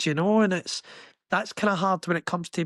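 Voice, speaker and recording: A man with a Glaswegian accent speaks in a dry, close sound with no echo. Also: quiet background. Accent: Glaswegian Scottish. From Scotland, Glasgow. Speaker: construction worker. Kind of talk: podcast interview. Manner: animated.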